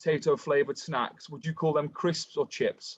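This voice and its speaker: A man's fairly high voice in an English accent, with ordinary pitch variation and a dry, close sound with no echo. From England. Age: 20s. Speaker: podcast host. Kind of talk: casual interview.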